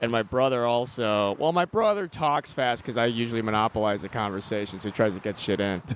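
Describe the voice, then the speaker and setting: A man's medium-pitched voice moves fairly quickly, its pitch varying in an ordinary way. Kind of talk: casual chat. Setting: outdoors. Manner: loud.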